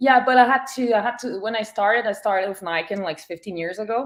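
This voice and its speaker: On a very clean recording with a silent background, a woman speaks with ordinary pitch variation. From Quebec, Montreal. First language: French. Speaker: photographer. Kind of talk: interview. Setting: live stream.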